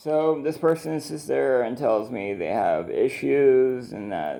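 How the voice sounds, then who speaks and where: Mumbling, a man speaks at a very slow pace in a dark, mellow tone. His pitch makes very wide swings. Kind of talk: casual video journal talk to camera.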